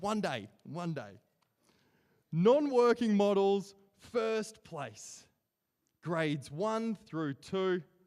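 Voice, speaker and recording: Very slow and broken by long, frequent pauses, a man's high-pitched voice carries lively intonation in a strong Australian accent. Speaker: awards ceremony emcee. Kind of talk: award announcements.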